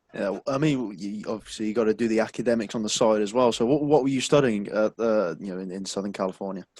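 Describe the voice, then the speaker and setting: In a British accent, a man talks very fast with hardly any pauses, his fairly low voice showing ordinary pitch variation. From UK. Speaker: podcast host. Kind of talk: casual interview.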